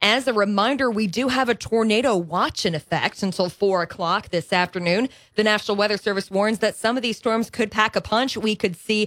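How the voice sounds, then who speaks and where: In a plain, everyday voice, a woman speaks at a fairly quick pace with fairly high pitch and ordinary pitch variation. The sound is dry and close with no echo, in a very clean recording with a silent background. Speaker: radio news anchor. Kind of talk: news bulletin. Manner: clear and measured.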